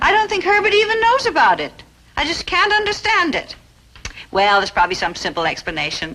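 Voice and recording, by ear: Bright and sharp in tone, this put-on character voice moves at a fairly quick pace with big pitch swings. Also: woman, extremely high pitch for a woman.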